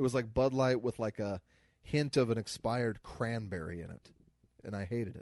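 A man talks with an American accent in a plain, everyday voice. His loudness swings widely, and the sound is dry and close with no echo. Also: medium pitch for a man, ordinary pitch variation, fairly quick pace. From US Midwest. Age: 30s. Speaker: comedian podcast co-host. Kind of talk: casual chat.

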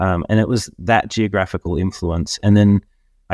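A man with an Australian accent speaks at a moderate pace with fairly even intonation. The sound is dry and close with no echo, and the recording is very clean with a silent background. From Australia, Queensland. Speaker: business networking event organizer. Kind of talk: interview. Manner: halting, many fillers and repeats.

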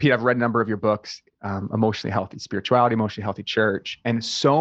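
Recorded with a dry, close sound with no echo and a quiet background, a man speaks at a medium pitch in an unremarkable speaking voice. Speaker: interviewer. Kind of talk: interview.

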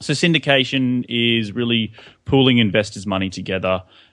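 His accent is Australian. The man talks at a fairly quick pace. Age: 20s. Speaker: real estate investor and podcaster. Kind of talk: casual interview.

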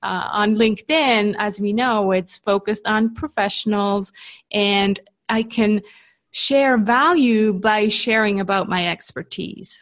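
Speaking fairly slowly, a woman keeps her pitch variation ordinary. Little else can be heard around her. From Switzerland. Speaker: LinkedIn marketing coach. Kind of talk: interview.

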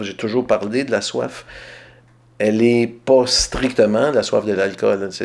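A man in a Quebec accent speaks at a fairly slow pace. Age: 40s. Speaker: writer. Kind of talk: interview. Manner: halting.

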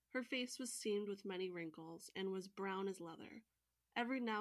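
A natural reading voice, with ordinary pitch variation, comes through against a quiet background.

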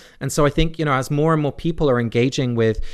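Against a quiet background, a man with an English accent speaks with ordinary pitch variation. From England. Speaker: divinity scholar. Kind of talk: interview.

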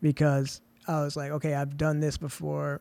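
On a very clean recording with a silent background, a man speaks at a fairly high pitch with a dark, mellow tone. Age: 30s. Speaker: film writer and director. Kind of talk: casual chat.

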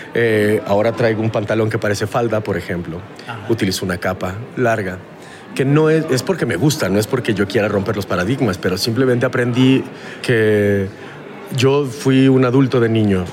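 Over noticeable background noise and audible room echo, a man with a Mexican accent speaks at medium pitch and a moderate pace, with ordinary pitch variation. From Mexico. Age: 40s. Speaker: voice professional. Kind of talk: casual interview. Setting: hallway at a festival.

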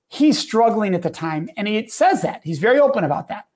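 Over a silent background in a very clean recording, a man with a Midwestern US accent speaks at a moderate pace in a high voice with lively intonation. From Southern Wisconsin, US Midwest. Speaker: guest and speaker. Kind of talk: casual interview chat.

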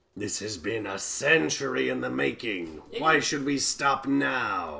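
In a put-on character voice, a man speaks at a fairly slow pace and fairly low pitch, with very wide pitch swings over light background noise. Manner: playful, bored, impatient.

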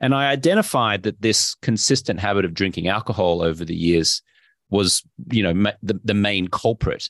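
A man speaks with an Australian accent at a moderate pace, his pitch fairly low and his intonation lively. The sound is dry and close with no echo, over a quiet background. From Brisbane, Australia. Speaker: investor and health coach, former sports anchor. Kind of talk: casual interview chat.

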